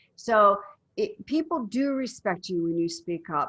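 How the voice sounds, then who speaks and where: In an American accent, a woman speaks at a medium pitch in a normal speaking voice. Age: 60s. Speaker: women's empowerment coach and media personality. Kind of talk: casual interview chat.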